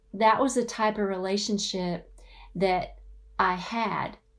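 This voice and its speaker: Audible room echo surrounds a woman speaking in a Southern US accent. Her medium pitch shows ordinary variation at a very slow pace. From US South. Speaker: author and marriage speaker. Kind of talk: conference talk.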